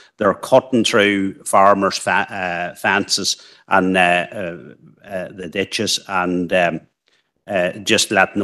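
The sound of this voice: Little pitch movement marks this man's low-pitched voice, which has a fairly bright tone.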